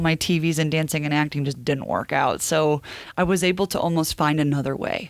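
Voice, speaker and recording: At a moderate pace, a woman talks in a fairly low voice. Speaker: TV sports reporter. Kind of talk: casual interview chat. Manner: animated.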